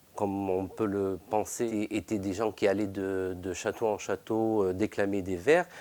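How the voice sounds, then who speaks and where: A man with a fairly low pitch and a dark, mellow tone talks at a fairly slow pace in a monotone, flat intonation, with hardly any pauses. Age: 50s. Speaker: bookbinder, workshop owner. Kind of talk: interview. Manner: halting, many hesitations.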